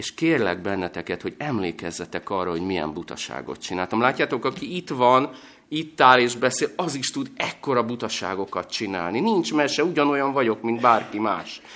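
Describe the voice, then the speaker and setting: On a very clean recording with a silent background, a man with a bright, sharp tone and medium pitch speaks at a moderate pace with very wide pitch swings and hardly any pauses. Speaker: guest preacher. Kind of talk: sermon. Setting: church.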